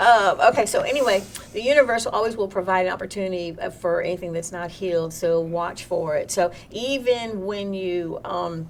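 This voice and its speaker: A woman talks at medium pitch in a Southern US accent, barely pausing at all. Her pitch varies in an ordinary way, and there is noticeable background noise. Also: moderate pace. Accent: Southern US twang. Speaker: spiritual workshop host. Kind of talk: live online workshop with chat.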